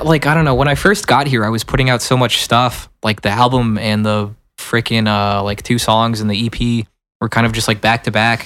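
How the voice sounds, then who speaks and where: A man with a plain, everyday voice, medium in pitch, speaks at a moderate pace with fairly even intonation in a very clean recording with a silent background. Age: 20s. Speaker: musician, band frontman. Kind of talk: casual chat. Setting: studio.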